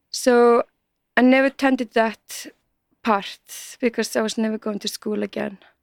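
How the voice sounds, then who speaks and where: A woman's fairly high voice in a flat monotone at a moderate pace, recorded very clean, dry and close, with a silent background and no echo. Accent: Icelandic. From Iceland. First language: Icelandic. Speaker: multimedia artist. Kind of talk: casual interview chat.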